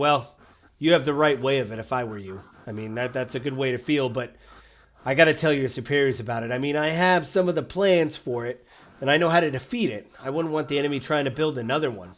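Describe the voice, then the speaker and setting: A man uses a raspy, put-on character voice at a medium pitch. He talks at a very fast pace. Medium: actual play.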